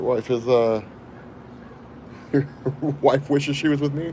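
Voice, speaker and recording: This man's voice sits fairly high in pitch. Noticeable background noise runs behind him. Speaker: comics YouTuber. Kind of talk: livestream chat. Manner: casual, conversational.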